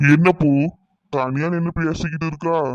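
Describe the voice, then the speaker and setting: Using a cartoonish character voice at a fairly high pitch, a man talks at a fairly slow pace in a monotone, flat way. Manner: nosy, teasing.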